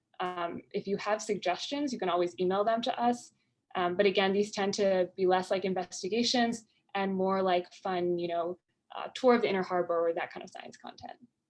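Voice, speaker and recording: A woman talks at a fairly quick pace with fairly even intonation. Her loudness swings widely. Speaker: science outreach educator. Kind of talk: webinar presentation. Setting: video call. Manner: fast. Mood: friendly, informal. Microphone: video call.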